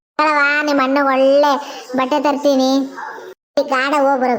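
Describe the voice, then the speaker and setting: A cartoonish character voice from a woman, high-pitched and monotone, with flat intonation at a moderate pace. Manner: gruff, rustic dialect.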